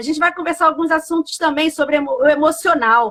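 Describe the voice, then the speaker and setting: An animated woman's voice, bright and sharp in tone, rises to an extremely high pitch and is raised and projected. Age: 60s. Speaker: pastor and live show host. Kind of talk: casual live stream chat. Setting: live stream.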